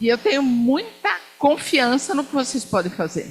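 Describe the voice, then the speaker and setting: A woman's high pitch with very wide pitch swings at a moderate pace, over noticeable background noise. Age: 60s. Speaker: diplomat. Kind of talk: lecture. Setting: lecture hall with student audience. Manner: animated.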